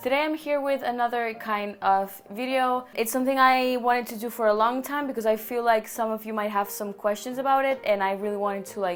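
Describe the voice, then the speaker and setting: A woman with a Catalan accent talks at a fairly quick pace with hardly any pauses, her fairly high voice fairly even in intonation over noticeable background noise. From Barcelona, Spain. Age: 20s. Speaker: YouTuber. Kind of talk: casual vlog talk to camera.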